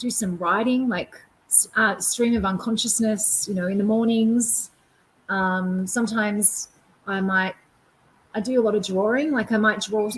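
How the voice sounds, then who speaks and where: A woman speaks with an Australian accent at a fairly high pitch. Her intonation stays fairly even. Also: moderate pace. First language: Auslan (sign language). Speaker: performance artist. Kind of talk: Q&A after keynote. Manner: hesitant, many fillers.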